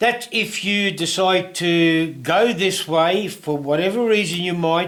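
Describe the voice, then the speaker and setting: Speaking at a very slow pace, a man with a high pitch uses ordinary pitch variation. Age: 70s. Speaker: woodworking and laser-cutting hobbyist YouTuber. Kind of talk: tutorial. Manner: casual, hesitant with fillers.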